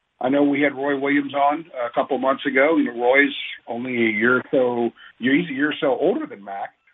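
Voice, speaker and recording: A man talks in an unremarkable speaking voice. His pitch is fairly high, with ordinary pitch variation. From Northern Virginia. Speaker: sports columnist. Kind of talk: casual sports radio chat.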